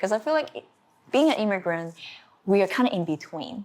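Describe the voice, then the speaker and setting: In a very clean recording with a silent background, a woman speaks with a Chinese accent. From China. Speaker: art teacher. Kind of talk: interview. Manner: halting.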